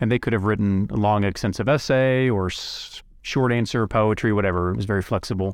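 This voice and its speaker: Against a quiet background, a man with an unremarkable speaking voice talks at a fairly quick pace, his fairly low pitch showing ordinary variation. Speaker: podcast host and prison volunteer. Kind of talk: interview, casual conversation. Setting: in-person recording.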